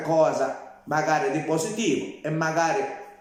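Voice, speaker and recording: A man's fairly high voice at a fairly slow pace, with audible room echo and noticeable background noise. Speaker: social media livestreamer. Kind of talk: casual live-stream monologue. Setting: live stream.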